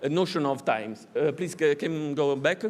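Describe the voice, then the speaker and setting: Using ordinary pitch variation, a man with a fairly high voice speaks in an Italian accent. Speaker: art academy professor and curator. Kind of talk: conference talk. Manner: halting, many hesitations.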